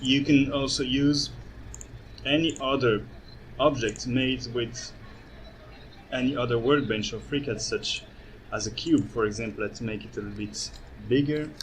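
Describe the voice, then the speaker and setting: A man with a non-native accent talks at medium pitch and a moderate pace, his intonation fairly even. He leaves long, frequent pauses, and the room echo is audible. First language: not English. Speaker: architect and software developer giving a demo. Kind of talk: conference presentation with live software demo. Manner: halting, many fillers.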